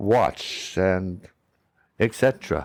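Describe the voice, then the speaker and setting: The man's voice sits at a fairly low pitch. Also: very clean recording, silent background. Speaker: podcast host, mindfulness speaker. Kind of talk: reflective mindfulness podcast talk.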